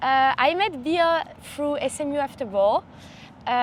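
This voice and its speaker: A woman with a French accent, a high pitch and a moderate pace. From southern France, Montpellier. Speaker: college athlete. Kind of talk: podcast introduction.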